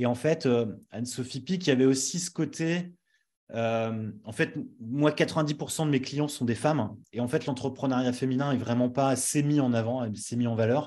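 Over a quiet background, a man speaks fairly slowly in a dark, mellow tone with ordinary pitch variation. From northern France (Nord-Pas-de-Calais). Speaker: brand strategist and agency founder; interviewee, brand coach. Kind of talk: interview. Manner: hesitant, many fillers. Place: home room. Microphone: studio mic.

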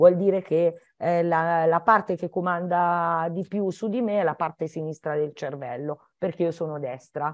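Here a woman speaks at a fairly slow pace with a fairly low pitch and ordinary pitch variation. The sound is dry with no echo, over a quiet background. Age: 60s. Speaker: primary school teacher; primary school teacher, guest. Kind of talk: educational Q&A talk for children. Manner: halting, with many fillers and restarts. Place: home room. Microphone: video call.

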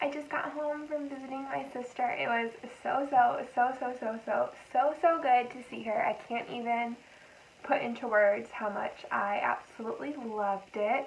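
Against light background noise, a woman with a high pitch talks at a moderate pace, her loudness swinging widely and her pitch varying in an ordinary way. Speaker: vlogger. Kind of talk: casual vlog chat. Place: home room. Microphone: camera far.

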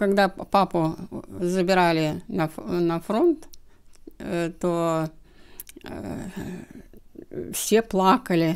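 A woman with a fairly low pitch speaks very slowly, leaving long, frequent pauses. Her loudness swings widely while her pitch variation stays ordinary against a quiet background. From Russia, near the Belarus border. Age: 80s+. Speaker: grandmother recalling WWII childhood; interviewee. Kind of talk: oral history interview. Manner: halting. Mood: reflective, recalling wartime childhood. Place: home room. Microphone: handheld.

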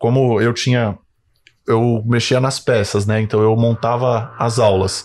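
A man speaks at a medium pitch with a São Paulo accent. His intonation stays fairly even against a quiet background. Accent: Brazilian Portuguese, São Paulo. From Brazil, São Bernardo do Campo (São Paulo area); São Paulo, Brazil. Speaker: physiotherapist and clinic owner; podcast guest. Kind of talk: casual interview. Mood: relaxed, storytelling. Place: studio. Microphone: studio mic.

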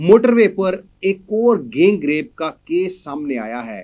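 A man speaks at a very slow pace, his pitch swinging very widely. The background is quiet. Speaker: news show host. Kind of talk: news commentary. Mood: serious, concerned. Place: studio.

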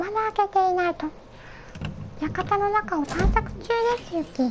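A woman speaks at a fairly slow pace with a timid tone and an extremely high pitch. Noticeable background noise sits behind her. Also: lively intonation. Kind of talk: gameplay commentary. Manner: timid, casual.

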